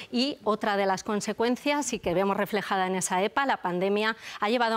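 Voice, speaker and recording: A woman with a normal speaking voice talks at a medium pitch and moderate pace. Her intonation is fairly even, and the recording is very clean with a silent background. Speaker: economics editor on TV news. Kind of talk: news analysis.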